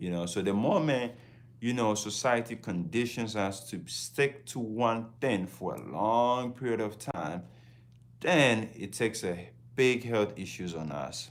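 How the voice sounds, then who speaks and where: A man with a Ghanaian accent speaks at a fairly slow pace. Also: medium pitch for a man, ordinary pitch variation. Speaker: travel vlogger. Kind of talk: casual livestream talk.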